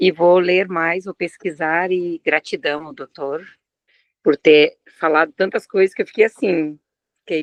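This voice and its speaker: Her sound is dry and close, with no echo. The woman moves at a moderate pace. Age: 60s. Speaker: course participant. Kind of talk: casual Q&A comment. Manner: halting, with many fillers.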